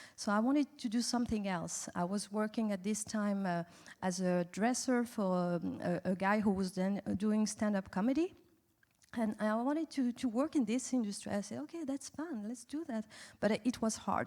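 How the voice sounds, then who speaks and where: Somewhat breathy and dark, mellow in tone, a woman speaks at a fairly high pitch with a French accent. Her pitch variation is ordinary, on a very clean recording with a silent background. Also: moderate pace. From France. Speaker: animation industry executive. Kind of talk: festival panel interview. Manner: halting, many fillers.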